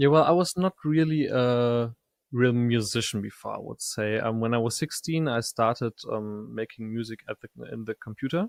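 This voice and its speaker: Here is a man with an ordinary speaking voice at a medium pitch. His pace is moderate, with ordinary pitch variation. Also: big swings in loudness, dry, close sound with no echo. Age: 20s. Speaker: audio software startup co-founder. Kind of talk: podcast interview.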